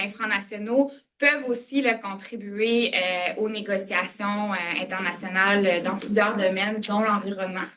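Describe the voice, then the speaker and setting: Her pitch fairly high, a woman speaks at a fairly slow pace with fairly even intonation. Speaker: government adviser on international affairs. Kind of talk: lecture. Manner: halting, many fillers.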